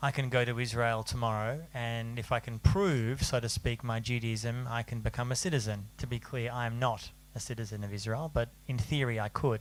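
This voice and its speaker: Speaking with hardly any pauses, a man keeps a moderate pace, medium pitch and fairly even intonation. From Australia. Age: 40s. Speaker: journalist and author. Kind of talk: panel talk.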